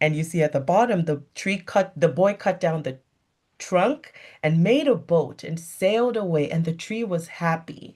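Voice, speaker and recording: With a West African accent, the speaker keeps a moderate pace on a very clean recording with a silent background. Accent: West African accent, audible. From Nigeria (Lagos). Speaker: physician. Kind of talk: motivational talk.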